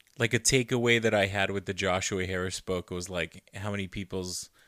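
On a very clean recording with a silent background, a man with an American accent talks at a fairly quick pace, with a fairly low pitch, a bright, sharp tone and fairly even intonation. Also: dry, close sound with no echo. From Arizona. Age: 30s. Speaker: podcast co-host. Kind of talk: casual chat. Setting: home bedroom.

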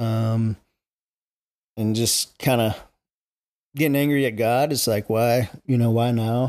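An American accent and a dark, mellow tone, with very even loudness, long, frequent pauses, and a very clean recording with a silent background. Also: man. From Charlotte, North Carolina. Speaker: gym owner. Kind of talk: casual chat.

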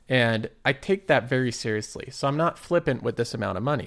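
A man in a plain, everyday voice with lively intonation at a moderate pace, on a very clean recording with a silent background. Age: 20s. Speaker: investing YouTuber. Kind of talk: casual solo commentary.

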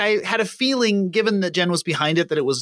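His pitch swings very widely. The man talks at a fairly quick pace. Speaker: podcast co-host. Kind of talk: casual chat. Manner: halting.

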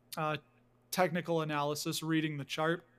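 In a very clean recording with a silent background, a man with a Chicago accent talks at a moderate pace in a high pitch. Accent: Chicago accent, noticeable. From Chicago, US Midwest. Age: 40s. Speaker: dividend investor and YouTuber. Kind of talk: casual interview chat. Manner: animated.

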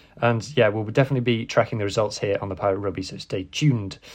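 The man's delivery is very fast. There is a somewhat breathy quality to his voice. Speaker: podcast host. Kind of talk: casual news rundown podcast.

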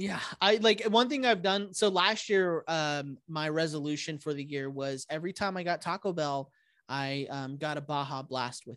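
Against a quiet background, a man with an unremarkable speaking voice talks at fairly high pitch, with ordinary pitch variation. His pace is moderate with hardly any pauses, and his loudness swings widely. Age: 30s. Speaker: stand-up comedian and podcast host. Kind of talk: casual chat.

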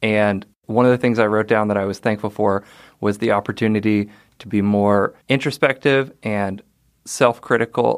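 Against a silent background on a very clean recording, a man with an unremarkable speaking voice and a fairly low pitch talks at a moderate pace with fairly even intonation. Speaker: podcast co-host. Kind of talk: casual chat.

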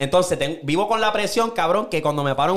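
A man talks at a very fast pace in an animated tone. His voice has vocal fry. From Puerto Rico. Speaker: podcast host. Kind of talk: casual chat.

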